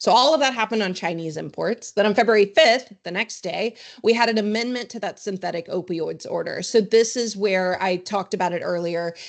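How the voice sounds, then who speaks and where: Speaking at a fairly quick pace with hardly any pauses, a woman keeps a medium pitch and ordinary pitch variation. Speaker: trade compliance consultant presenter. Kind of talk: webinar presentation. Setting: virtual online session. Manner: fast.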